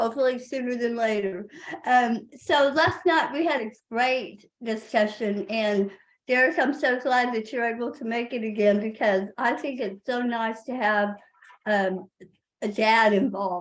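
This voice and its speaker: A woman speaks at a fairly slow pace with a Texan accent. Her voice sits fairly high, with ordinary pitch variation. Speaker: parent advocate. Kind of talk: webinar presentation.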